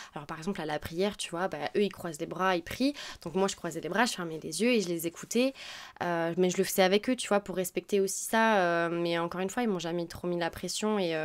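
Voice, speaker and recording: Fairly low in pitch with ordinary pitch variation, a woman talks at a fairly quick pace. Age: 20s. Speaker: former exchange student. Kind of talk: interview. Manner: halting.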